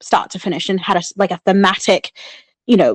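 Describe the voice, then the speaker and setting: Delivered at a fairly quick pace, the speech has a New Zealand accent. The sound is dry and close, without echo. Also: woman, very clean recording, silent background. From New Zealand (born in Sri Lanka). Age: 30s. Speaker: public speaking club member, contest winner. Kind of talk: podcast interview. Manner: animated.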